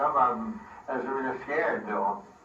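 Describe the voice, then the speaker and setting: Over noticeable background noise and audible room echo, a man speaks at a fairly slow pace with medium pitch and ordinary pitch variation. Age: 80s+. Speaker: castle builder. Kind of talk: casual storytelling.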